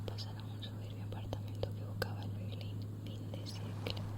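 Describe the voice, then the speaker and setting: A woman is whispering at a fairly quick pace. Noticeable background noise is present. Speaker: ASMR creator. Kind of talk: ASMR book reading. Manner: whispered.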